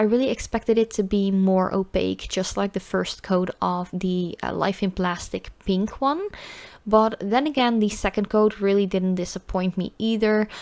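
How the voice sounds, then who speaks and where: A woman with a medium-pitched voice speaks at a moderate pace with a Dutch accent. Her intonation is fairly even, and the recording is very clean with a silent background. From Netherlands. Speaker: nail polish youtuber. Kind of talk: product review voiceover. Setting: recorded voiceover. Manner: hesitant, many fillers.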